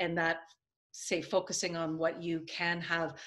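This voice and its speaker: A woman with a fairly low pitch and an ordinary speaking voice, at a fairly slow pace, against a quiet background. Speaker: video host and consultant. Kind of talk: interview.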